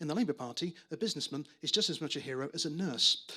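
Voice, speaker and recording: A man's voice over noticeable background noise. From northern England, Manchester. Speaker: stand-up comedian. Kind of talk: stand-up. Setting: stage with audience. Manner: halting, many fillers and repeats.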